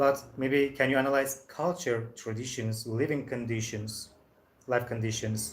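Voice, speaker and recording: A man's ordinary speaking voice, medium in pitch, with ordinary pitch variation. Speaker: English teacher. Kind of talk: online language lesson.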